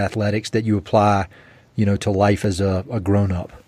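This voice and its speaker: A man with an American accent talks at a moderate pace in an ordinary speaking voice, pitched fairly low. The recording is very clean, with a silent background. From US South, eastern North Carolina. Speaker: podcast host. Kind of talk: podcast interview. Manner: casual.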